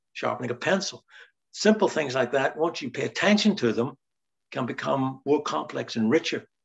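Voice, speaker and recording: With a Northern Irish accent, a man speaks at a moderate pace in a fairly high pitch. His intonation is lively, with some vocal fry. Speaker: writer. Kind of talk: interview conversation.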